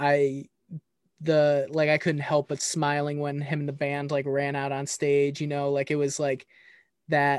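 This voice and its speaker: Speech comes at a fairly slow pace with a monotone, flat intonation. The speaker has an American accent. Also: man, fairly high pitch for a man. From Ohio (Chillicothe). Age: 20s. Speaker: podcast host. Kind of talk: casual chat.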